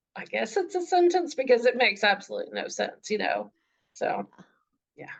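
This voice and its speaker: Talking at a fairly quick pace with a slight Southern US accent, a woman lets her loudness swing widely. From US South. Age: middle-aged. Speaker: author. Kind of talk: interview.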